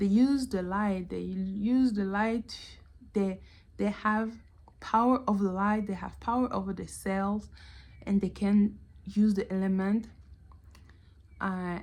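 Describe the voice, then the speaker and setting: A woman with a Quebec accent speaks fairly slowly at a medium pitch with fairly even intonation and long, frequent pauses, on a very clean recording with a silent background. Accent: French Canadian accent in English. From Canada. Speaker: TV show commentator. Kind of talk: casual video analysis monologue. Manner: halting, many fillers.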